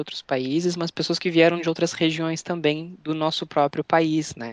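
The pace is fairly slow. The background is quiet. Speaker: employee network leader. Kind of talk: casual interview.

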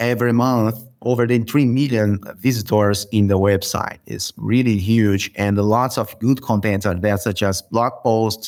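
A man with a Brazilian accent talks at a moderate pace and a medium pitch with fairly even intonation. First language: Portuguese. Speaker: software consultant. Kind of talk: podcast interview.

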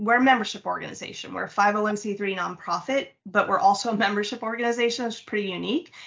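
Delivered at a fairly quick pace with hardly any pauses, a normal speaking voice with an American accent shows ordinary pitch variation. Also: woman. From United States. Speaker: nonprofit founder and CEO. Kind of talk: interview.

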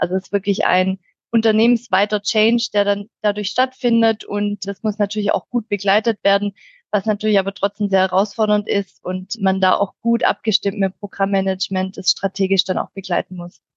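In a dry, close recording with no echo, a woman speaks at a moderate pace with flat, monotone intonation. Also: medium pitch for a woman. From Swabia, near Stuttgart, Germany. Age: 30s. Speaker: IT change management team lead. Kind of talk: podcast interview.

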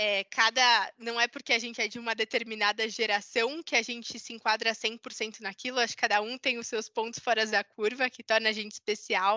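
A woman's fairly high voice at a moderate pace. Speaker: marketing professional. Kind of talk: panel discussion.

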